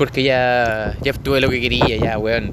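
Audible room echo and noticeable background noise accompany a man with a Chilean accent who speaks at a medium pitch with fairly even intonation. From Chile, Biobío region (Florida). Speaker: podcaster. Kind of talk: casual monologue. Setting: outdoors by the sea.

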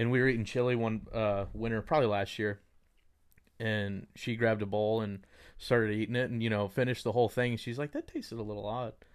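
A man with a Texas accent at a medium pitch, very fast pace and monotone, flat intonation, on a very clean recording with a silent background. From Texas, Dallas. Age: 30s. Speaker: mortgage lender. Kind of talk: casual chat.

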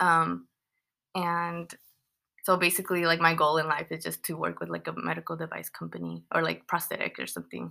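A woman with a Californian accent, speaking at a fairly quick pace. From San Fernando Valley, California. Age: 20s. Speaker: engineering student. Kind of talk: casual chat. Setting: at home with housemates.

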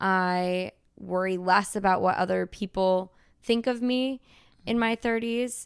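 Over a very clean recording with a silent background, a woman talks in a normal speaking voice at medium pitch. Her pace is fairly slow and her intonation fairly even. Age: 30s. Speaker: cartoonist. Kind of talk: interview.

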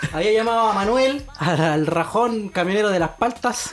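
A Chilean accent at a moderate pace, over noticeable background noise. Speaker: podcast co-host. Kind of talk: casual chat.

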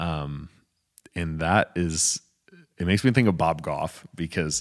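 An American accent with ordinary pitch variation. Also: man. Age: 20s. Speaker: podcast co-host. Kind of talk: casual bible study chat.

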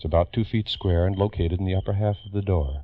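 A man's very deep, low voice, somewhat breathy, fairly quick, with ordinary pitch variation. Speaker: radio narrator. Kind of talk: old-time radio drama narration. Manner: crisp, grave, dramatic mid-century radio announcer delivery, urgent and portentous.

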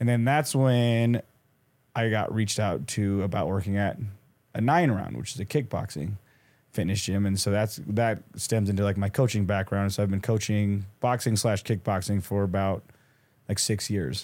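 With a very clean recording and silent background, a man in an unremarkable speaking voice talks at a moderate pace, his fairly low pitch varying in an ordinary way. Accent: American. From Nebraska, US Midwest. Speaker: boxing coach and professional boxer. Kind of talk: casual interview. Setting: studio.

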